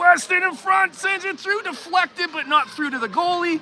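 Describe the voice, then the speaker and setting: Noticeable background noise sits behind this speaker. The delivery has a Canadian accent and a moderate pace. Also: man. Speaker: amateur sports commentator, hockey parent. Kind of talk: live commentary. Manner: animated.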